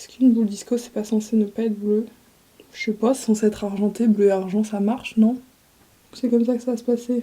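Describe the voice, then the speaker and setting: In a monotone, flat intonation, the speech moves at a fairly quick pace with big swings in loudness and noticeable background noise. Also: woman. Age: 20s. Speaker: vlogger. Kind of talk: casual chat.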